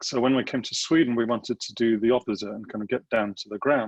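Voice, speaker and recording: The sound is dry, close and has no echo. This man's pitch varies in an ordinary way, and he goes at a fairly quick pace. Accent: English. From England. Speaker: government agency design director. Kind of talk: webinar presentation.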